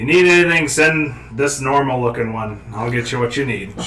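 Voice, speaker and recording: Over clear background noise, a man puts on a raspy character voice at a medium pitch, moving at a moderate pace with ordinary pitch variation. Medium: actual play. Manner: blunt, suspicious.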